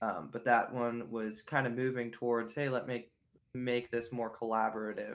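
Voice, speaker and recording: With a western Pennsylvania accent, a man talks at medium pitch in monotone, flat intonation. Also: moderate pace. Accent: western Pennsylvania American. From western Pennsylvania (near Pittsburgh). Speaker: musician. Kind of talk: interview.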